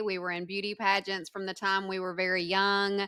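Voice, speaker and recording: On a very clean recording with a silent background, a woman of medium pitch has a strong Southern US accent and a bright, sharp tone. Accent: thick Southern. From US South, northwest Georgia. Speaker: former prisoner, advocate. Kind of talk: interview testimony.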